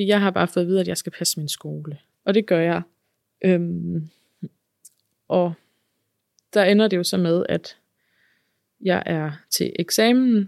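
The recording is very clean, with a silent background and a dry, close sound with no echo. A woman speaks in a fairly low pitch at a fairly slow pace. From Denmark, central Jutland near Herning. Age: 30s. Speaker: podcast guest sharing her life story. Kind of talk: personal testimony interview. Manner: hesitant, many fillers.

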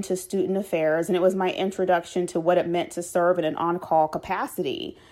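A woman with an American accent has a dark, mellow tone and a fairly quick pace. The recording is very clean, with a silent background. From Chicago, west side (Austin). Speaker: podcast host, former residence life professional. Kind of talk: solo podcast narration.

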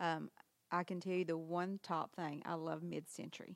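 With a Southern US accent, a woman talks at a moderate pace in a fairly low pitch. Her intonation is monotone and flat, and the sound is dry and close with no echo. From Arkansas, Harrisburg. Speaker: antique shop owner. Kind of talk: interview. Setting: in her shop.

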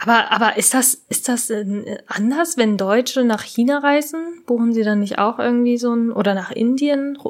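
A woman's high-pitched voice with ordinary pitch variation, a moderate pace and very even loudness. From Japan. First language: Japanese (speaking German). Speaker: podcast co-host. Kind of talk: casual chat.

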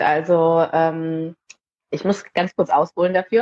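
Very slowly, a woman speaks in a dark, mellow tone, with dry, close sound and no echo. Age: 30s. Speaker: parenting mentor for mothers. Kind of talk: casual interview.

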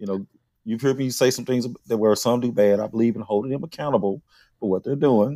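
A man with a Southern US accent speaks fairly quickly at a medium pitch, his tone dark and mellow with ordinary pitch variation. The sound is dry and close with no echo, on a very clean recording with a silent background. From Mississippi, Philadelphia. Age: 50s. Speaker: podcast host. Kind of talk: casual chat.

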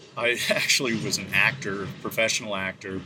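A man with an American accent at a moderate pace, noticeable background noise behind him. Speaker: podcast host. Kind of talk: conversational interview. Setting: outdoors, mill courtyard.

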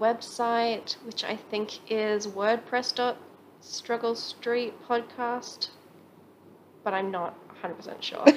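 Speaking at a very slow pace, a woman talks in an Australian accent. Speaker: podcast co-host. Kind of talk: casual chat.

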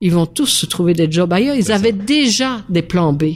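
A woman talks in a normal speaking voice. Her pitch is fairly low. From Belgium. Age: 60s. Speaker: mayor and former restaurant owner. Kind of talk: casual interview chat.

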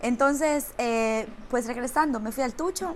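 Lively in intonation, a woman with a fairly high pitch speaks at a fairly slow pace. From Romania. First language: Romanian (speaking Spanish). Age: 30s. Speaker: actress. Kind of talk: casual chat.

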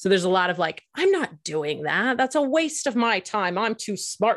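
An ordinary speaking voice at a moderate pace with lively intonation, on a very clean recording with a silent background. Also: woman. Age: 40s. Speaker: marriage and family therapist, author and podcast co-host. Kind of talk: interview conversation.

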